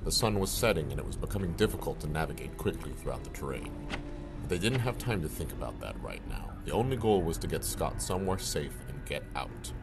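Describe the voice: Over clear music in the background, a man uses a put-on character voice at an extremely low pitch, with big pitch swings and a fairly quick pace.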